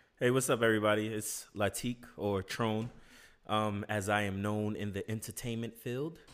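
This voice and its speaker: A man talks at a moderate pace with a fairly low pitch. The recording is very clean, with a silent background. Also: fairly even intonation. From New York, the Bronx. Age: 20s. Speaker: entertainer and military service member. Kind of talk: casual chat.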